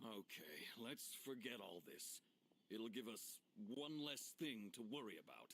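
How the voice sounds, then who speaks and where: In a put-on character voice, a man talks at medium pitch and a fairly slow pace with lively intonation. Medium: video game. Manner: gruff, commanding.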